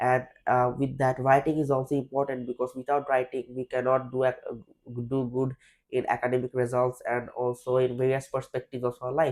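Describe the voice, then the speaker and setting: At a fairly quick pace, a man with a medium pitch and a Bangladeshi accent speaks in a monotone, flat intonation. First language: Bengali. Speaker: IELTS test candidate. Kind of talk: mock speaking exam interview. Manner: hesitant, with fillers and restarts.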